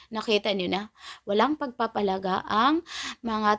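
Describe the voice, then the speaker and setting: Lively intonation from a woman at a fairly high pitch, in a dry, close sound with no echo and a very clean recording over a silent background. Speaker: YouTube reaction vlogger. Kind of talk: angry rant, scornful reaction commentary. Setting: home recording, reacting to a video clip. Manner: heated, indignant, repeating 'nako, nako' in sputtering outrage; sarcastic, exasperated, jabbing at the target.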